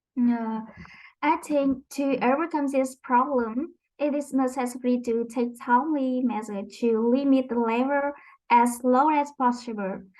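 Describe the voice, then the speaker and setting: A woman's high-pitched voice, fairly slow in pace, with fairly even intonation. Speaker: English language student. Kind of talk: class speaking exercise. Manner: halting.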